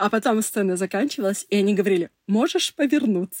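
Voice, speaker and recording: Very fast speech from a woman comes through with a dry, close sound and no echo. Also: very clean recording, silent background. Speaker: PR specialist. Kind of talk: personal testimony.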